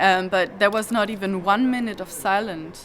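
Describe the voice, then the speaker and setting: With a German accent, a woman talks at a fairly quick pace. Noticeable background noise is present. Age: 20s. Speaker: activist. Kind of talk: interview. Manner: halting, many repetitions.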